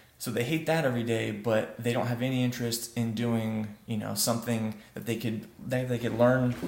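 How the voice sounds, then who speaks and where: A man speaks at a moderate pace with hardly any pauses, his medium pitch held in a fairly even intonation. The room echo is audible and background noise is noticeable. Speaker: web development vlogger. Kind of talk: casual vlog monologue. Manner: soft-spoken; halting, many fillers.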